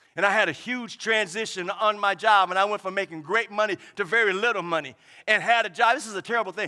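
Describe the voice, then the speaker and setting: A man speaks in a raised, projected voice at a fairly quick pace. His tone is bright and sharp. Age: 70s. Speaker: pastor. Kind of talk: sermon.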